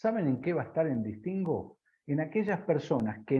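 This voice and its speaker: A man speaks at a moderate pace with very wide pitch swings. His voice is somewhat breathy. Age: 60s. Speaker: business consultant. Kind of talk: interview.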